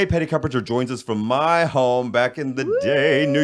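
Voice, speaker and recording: In an ordinary speaking voice, a man talks at a moderate pace with a medium pitch and ordinary pitch variation. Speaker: radio host, podcast co-host. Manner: playful, theatrical.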